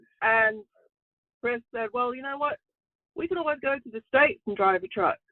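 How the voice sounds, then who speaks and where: This woman speaks with an English accent in a high pitch, using lively intonation, big swings in loudness and a moderate pace. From England. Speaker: truck driver. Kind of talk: interview.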